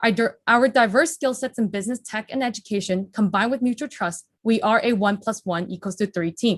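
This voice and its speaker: Speaking at a fairly quick pace, a woman with a fairly high pitch sounds somewhat breathy, and the sound is dry and close with no echo. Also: ordinary pitch variation, hardly any pauses. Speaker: startup founder pitching. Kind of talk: startup pitch. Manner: fast; rapid-fire without pauses.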